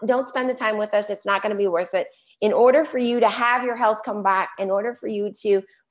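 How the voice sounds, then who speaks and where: A woman with an American accent talks at a fairly quick pace and a fairly high pitch. Her pitch varies in an ordinary way, and the background is quiet. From Chicago. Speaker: health coach. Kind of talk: webinar presentation. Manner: fast.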